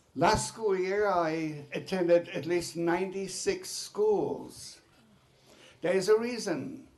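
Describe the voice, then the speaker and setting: Speech comes at a very slow pace with ordinary pitch variation over noticeable background noise. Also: man, long, frequent pauses. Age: 90s. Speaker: Holocaust survivor. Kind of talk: testimony. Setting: legislative committee hearing.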